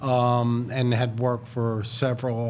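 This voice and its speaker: Noticeable background noise and audible room echo fill the recording. A man with a New York accent speaks at a medium pitch. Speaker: architect. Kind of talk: casual chat. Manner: halting, many fillers.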